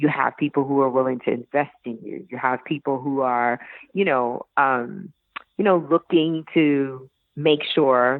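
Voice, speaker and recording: A woman with a New York accent, very deep, low pitch and ordinary pitch variation. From Brooklyn, New York. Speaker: chef and former teacher. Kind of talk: interview answer.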